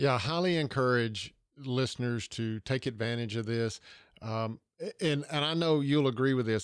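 A man at a moderate pace over a quiet background. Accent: Southern US. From US South, Georgia. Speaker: podcast host, leadership coach. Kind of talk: episode recap; interview conversation.

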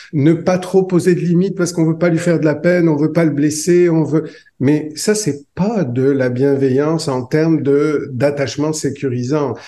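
A man's fairly high voice with a dark, mellow tone, fairly even intonation, very even loudness, and a moderate pace. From France. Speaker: psychologist and author. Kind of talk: interview.

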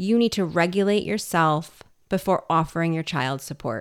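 A woman talks at a moderate pace with lively intonation. Hers is an ordinary speaking voice. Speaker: parenting podcast host, pediatric occupational therapist. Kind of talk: casual conversational podcast chat. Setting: home makeshift studio.

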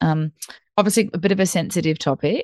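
Against a quiet background, a woman speaks with vocal fry in a dry, close sound with no echo. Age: 30s. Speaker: nutritionist. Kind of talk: casual interview chat.

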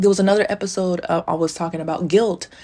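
A woman with an animated tone. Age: 30s. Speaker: spiritual podcaster, self-described psychic medium. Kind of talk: casual solo monologue.

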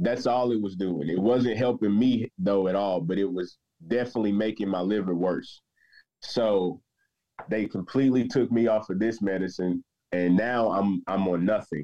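Here is a man with an unremarkable speaking voice and a fairly low pitch. He talks at a moderate pace with ordinary pitch variation. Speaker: patient sharing story. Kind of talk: personal testimony interview.

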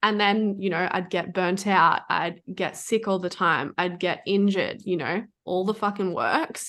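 A woman with an ordinary speaking voice talks at a medium pitch and a fairly slow pace. Her intonation is fairly even, and she hardly pauses. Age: 20s. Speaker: food freedom and business coach. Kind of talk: casual chat.

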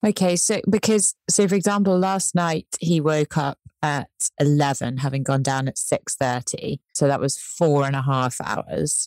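A woman speaks with a very deep, low pitch at a fairly slow pace. The sound is dry and close, with no echo. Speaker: first-time mother. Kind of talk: casual chat. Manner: more relaxed than before.

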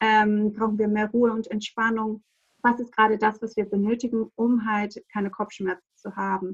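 In a somewhat breathy, fairly high voice, a woman speaks at a moderate pace with monotone, flat intonation. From Greece, small island. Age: 30s. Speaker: aromatherapy advisor. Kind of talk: casual chat.

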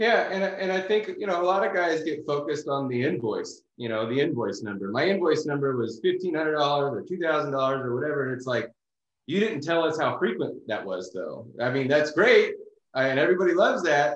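A man with a fairly high pitch and an unremarkable speaking voice talks at a moderate pace, his intonation lively. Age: 30s. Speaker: coating company owner and detailer. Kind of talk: casual interview chat.

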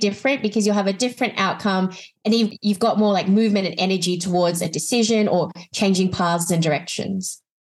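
Delivery is fairly quick, with intonation that stays lively throughout. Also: woman. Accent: Australian. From Australia. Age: 20s. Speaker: life coach and author. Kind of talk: casual interview chat.

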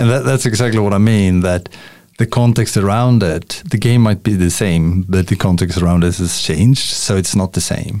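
With a Swedish accent and a dark, mellow tone, a man speaks at a moderate pace and fairly low pitch, with ordinary pitch variation and very even loudness. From Sweden. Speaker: podcaster and workplace relationship coach. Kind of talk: casual interview chat. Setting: video call.

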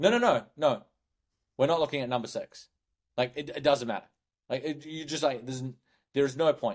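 Speaking with a New Zealand accent, a man talks at a fairly quick pace in a fairly high pitch. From New Zealand (Hamilton). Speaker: sales recruiter. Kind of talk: podcast interview.

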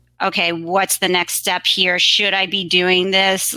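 A woman speaks in a bright, sharp tone with monotone, flat intonation. The recording is very clean, with a silent background. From New York City, Queens. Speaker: graphic designer. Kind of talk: interview.

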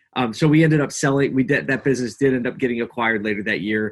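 Here a man speaks with a Philadelphia accent and ordinary pitch variation. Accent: Philadelphia American. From Philadelphia, US. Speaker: agency owner, entrepreneur. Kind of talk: casual chat.

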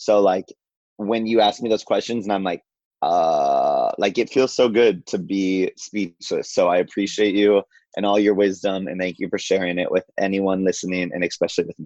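With an unremarkable speaking voice, a man talks at a moderate pace and a fairly low pitch with fairly even intonation, in a dry, close sound with no echo. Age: 20s. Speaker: journalist. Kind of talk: casual chat.

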